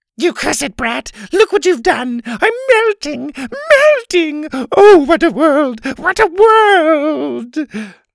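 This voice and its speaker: In a put-on character voice, the speaker talks at a high pitch and a very slow pace. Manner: creepy.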